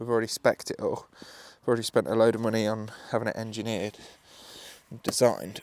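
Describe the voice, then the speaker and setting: The speaker has an English accent and talks at a very fast pace with monotone, flat intonation. The speech has long, frequent pauses, big swings in loudness, and noticeable background noise. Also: man, medium pitch for a man. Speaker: builder. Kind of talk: casual chat. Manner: downbeat.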